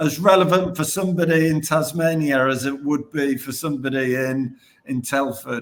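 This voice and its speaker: This man speaks with a British accent and a fairly high pitch. His pitch variation is ordinary. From Britain. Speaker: podcast host. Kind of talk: podcast interview.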